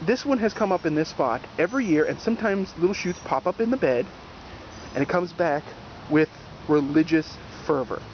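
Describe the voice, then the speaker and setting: Over noticeable background noise, an animated voice with an American accent moves at a fairly quick pace and lively intonation, broken by long, frequent pauses. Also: man, high pitch for a man. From New Jersey. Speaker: gardening video host. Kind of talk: casual outdoor garden tour. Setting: outdoors in a garden. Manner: casual, animated.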